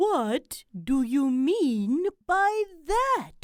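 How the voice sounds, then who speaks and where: This is a put-on character voice pitched high. It swings very widely up and down in pitch. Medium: read story. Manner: stern, curt.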